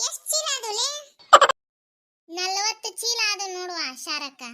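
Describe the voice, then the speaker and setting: Doing a squeaky, cartoonish character voice, a woman speaks fairly slowly at an extremely high pitch with very wide pitch swings. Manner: blunt, teasing.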